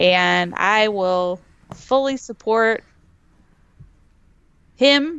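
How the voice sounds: A woman speaks at medium pitch. Her tone is clear and smooth.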